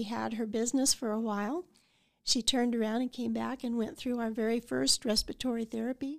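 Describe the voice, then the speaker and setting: In an American accent, a woman with a fairly high pitch speaks at a moderate pace on a very clean recording with a silent background. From Colorado (Idalia, eastern plains). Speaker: retired college registrar. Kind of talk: interview. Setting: on campus. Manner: hesitant, many fillers.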